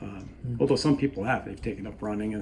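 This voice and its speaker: This man talks at a very fast pace. His pitch is fairly low, with ordinary pitch variation. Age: 60s. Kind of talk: interview answer.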